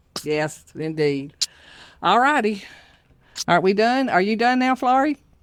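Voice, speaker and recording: A woman with a Southern US accent talks fairly slowly in a fairly high voice, her pitch swinging very widely while her loudness stays very even. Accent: Southern US (Georgia). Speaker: podcast host. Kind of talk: casual chat.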